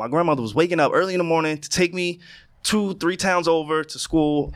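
A man's fairly high voice at a moderate pace with ordinary pitch variation, on a very clean recording with a silent background. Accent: New York. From New York (Queens, then Long Island). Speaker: podcast co-host. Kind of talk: casual chat. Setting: studio. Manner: animated.

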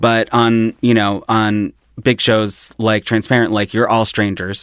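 A man speaks at a fairly low pitch and a fairly slow pace in a monotone, flat intonation. The sound is dry and close with no echo, on a very clean recording with a silent background. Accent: American. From Philadelphia, US. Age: 30s. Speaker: comedian and TV writer. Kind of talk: casual chat.

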